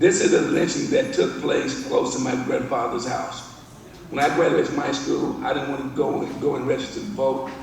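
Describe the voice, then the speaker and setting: A man speaks with an American accent at a moderate pace. Noticeable background noise and audible room echo are present. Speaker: visual artist. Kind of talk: presentation. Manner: halting.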